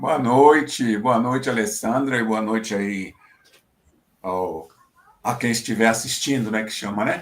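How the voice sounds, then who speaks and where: A man's medium-pitched voice, fairly slow, with long, frequent pauses and ordinary pitch variation. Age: 60s. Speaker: university professor, research group coordinator. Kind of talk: casual self-introduction in online talk. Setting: video call from home. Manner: halting, hesitant.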